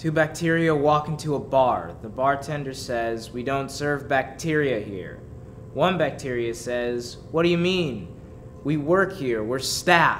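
At a fairly slow pace, a man speaks over light background noise. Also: ordinary pitch variation. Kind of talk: joke telling, comedic reading. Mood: deadpan, playful, laughing at end. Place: studio. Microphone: handheld.

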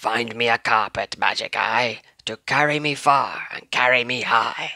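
A man uses a put-on character voice with vocal fry and a bright, sharp tone. He talks at a fairly slow pace in a dry, close sound with no echo. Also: medium pitch for a man, ordinary pitch variation.

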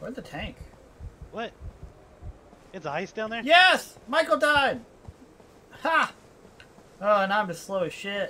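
A raised, projected voice moves at a fairly slow pace with long, frequent pauses. Its loudness swings a lot, and its pitch swings very widely. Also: man, high pitch for a man. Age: 20s. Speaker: gaming streamer. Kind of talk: casual chat. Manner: animated. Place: home room. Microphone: headset.

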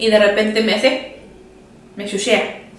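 A woman with a Mexican accent speaks at a moderate pace in an animated tone, her pitch fairly high. Audible echo fills the room around her. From Mexico. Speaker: video creator. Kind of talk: casual chat. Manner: animated, laughing often. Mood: cheerful, playful. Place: home room.

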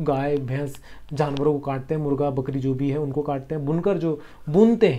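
A man speaks at a moderate pace with a fairly high pitch, a dark, mellow tone and ordinary pitch variation, with audible room echo. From Bihar, India (Patna). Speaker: history tutor. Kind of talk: online exam-prep lecture. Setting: home recording for YouTube. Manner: explanatory with frequent repetition.

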